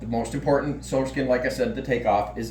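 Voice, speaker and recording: A man is speaking with audible room echo. Music plays in the background. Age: 50s. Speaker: butcher and hunter. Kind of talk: tutorial. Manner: halting, many fillers.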